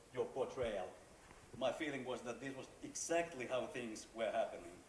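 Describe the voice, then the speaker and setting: Man at a moderate pace, with audible room echo and noticeable background noise. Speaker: central banker, panel commentator. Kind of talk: prepared commentary at book launch. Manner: loud; halting, many repetitions.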